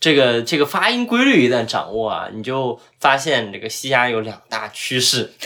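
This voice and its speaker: With an ordinary speaking voice, a man talks at a moderate pace and medium pitch, using fairly even intonation and hardly any pauses. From Zhuhai, Guangdong. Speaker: podcast host. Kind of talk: casual chat.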